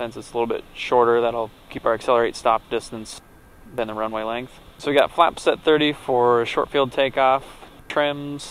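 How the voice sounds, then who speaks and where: Recorded dry with no echo, a man speaks with fairly even intonation. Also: moderate pace. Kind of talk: casual vlog chat and checklist callouts. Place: plane. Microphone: headset.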